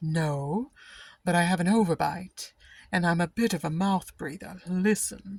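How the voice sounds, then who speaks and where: Someone uses a put-on character voice at a middle pitch, captured in a very clean recording with a silent background. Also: moderate pace. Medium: read story.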